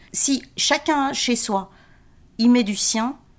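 A woman talks at a fairly high pitch with ordinary pitch variation. The recording is very clean, with a silent background. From Belgium, Limburg mining area. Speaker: community project coordinator. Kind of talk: interview. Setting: at home.

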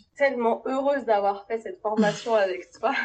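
Her voice sits at a fairly high pitch, and the woman keeps a fairly even intonation. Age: 30s. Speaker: kinesiologist running family workshops. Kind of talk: interview testimony. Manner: hesitant, many fillers.

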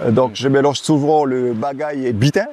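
The man's medium-pitched voice sounds dry and close with no echo, though noticeable background noise runs underneath. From French Guiana, Camopi. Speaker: athlete and entrepreneur. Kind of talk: casual chat.

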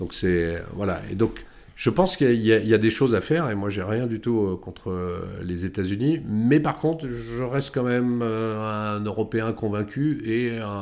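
With a normal speaking voice, a man talks at a fairly slow pace, his fairly low pitch showing ordinary pitch variation. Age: 50s. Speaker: tech company CEO. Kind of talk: interview.

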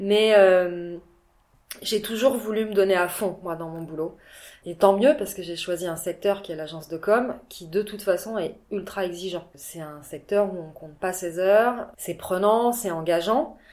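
In a plain, everyday voice, a woman at a medium pitch speaks at a fairly slow pace with ordinary pitch variation and big swings in loudness. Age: 40s. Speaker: entrepreneur and mother. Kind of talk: casual interview.

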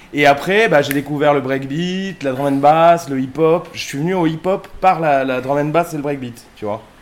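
Over noticeable background noise, a man talks at a moderate pace. His pitch is fairly high, with ordinary variation. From southern France, Sète area. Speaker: DJ and web radio co-founder. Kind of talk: casual chat.

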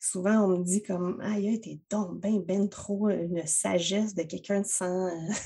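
A woman with a Quebec accent speaks at a medium pitch, somewhat breathy. Her pace is fairly slow, and she takes hardly any pauses. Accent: Québécois French. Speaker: entrepreneur, web marketing strategist. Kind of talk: casual chat. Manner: animated.

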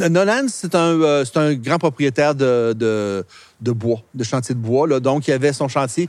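A man speaks very slowly at a fairly high pitch. His loudness stays very even throughout. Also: ordinary pitch variation. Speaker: local historian. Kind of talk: guided walking tour explanation. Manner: hesitant, many euh fillers.

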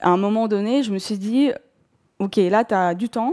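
At a fairly slow pace, a woman with a dark, mellow tone and ordinary pitch variation is heard on a very clean recording with a silent background and a dry, close sound with no echo. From southern Russia, North Caucasus. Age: 40s. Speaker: bookshop owner, career changer. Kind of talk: personal testimony. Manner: hesitant, many fillers.

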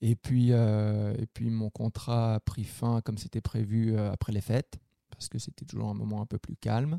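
With a dark, mellow tone, a man speaks at a fairly slow pace in a medium pitch and fairly even intonation, in a very clean recording with a silent background and a dry, close sound with no echo. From France. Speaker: cook and podcast co-host. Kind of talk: casual chat. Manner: halting, repeats words.

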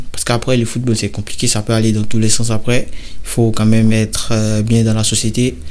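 Medium-pitched man at a moderate pace, flat and monotone, with hardly any pauses and noticeable background noise. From Côte d'Ivoire, Bouaké. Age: 20s. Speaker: professional footballer. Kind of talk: interview. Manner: hesitant, with fillers.

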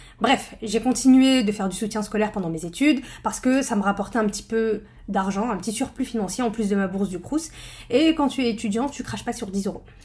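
This woman's somewhat breathy voice sits fairly high, moving at a fairly quick pace with ordinary pitch variation. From northern France. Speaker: podcast host and study-skills trainer. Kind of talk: personal storytelling monologue. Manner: casual, conversational.

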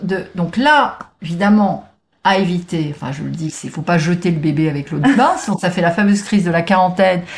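A woman talks at a fairly quick pace in a medium pitch, sounding somewhat breathy. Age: 60s. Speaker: transformation coach. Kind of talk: casual interview.

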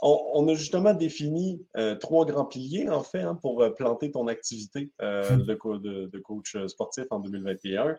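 This man talks very slowly, with hardly any pauses, in a dark, mellow tone at a medium pitch. His pitch swings very widely, with a slight Québécois accent. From Quebec. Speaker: podcast host, company president. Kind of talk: casual chat. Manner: halting, many fillers.

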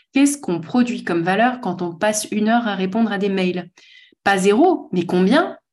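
This woman's somewhat breathy voice sits at a fairly high pitch and moves at a moderate pace. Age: 40s. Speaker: author and speaker on work. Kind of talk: casual interview conversation.

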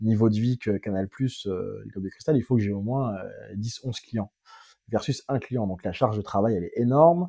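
The recording is very clean with a silent background, carrying a man's dark, mellow tone at a medium pitch. He talks at a moderate pace with ordinary pitch variation. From France, Seine-Saint-Denis (Paris suburbs). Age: 30s. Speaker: entrepreneur. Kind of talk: casual interview. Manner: animated.

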